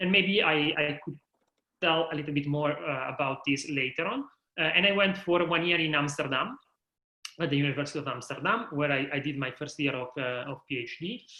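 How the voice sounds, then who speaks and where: At a fairly quick pace, a man with an Italian accent speaks at a fairly high pitch with ordinary pitch variation. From Italy, Milan. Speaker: higher education manager. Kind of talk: interview.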